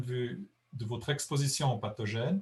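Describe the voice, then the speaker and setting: This man sounds somewhat breathy and uses ordinary pitch variation. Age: 60s. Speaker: conservation biologist. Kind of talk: lecture Q&A. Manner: halting.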